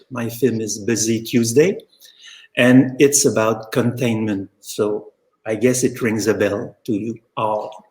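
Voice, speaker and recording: A man speaks with a Quebec French accent. His pitch is medium. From Quebec, Montreal. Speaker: filmmaker. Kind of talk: panel discussion.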